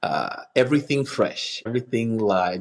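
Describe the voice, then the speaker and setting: Speaking at a fairly slow pace, a man talks with a Kenyan accent. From Kenya (city upbringing). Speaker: nonprofit community engagement manager. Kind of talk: podcast interview. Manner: hesitant, many fillers.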